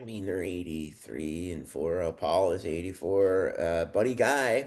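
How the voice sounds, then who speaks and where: A man with an American accent has a very deep, low pitch. He talks at a fairly slow pace with lively intonation. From Chicago, US Midwest. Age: 50s. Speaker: musician. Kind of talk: casual chat.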